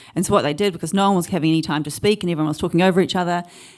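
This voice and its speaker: Ordinary pitch variation with a New Zealand accent. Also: woman. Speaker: artist. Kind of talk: conference panel discussion.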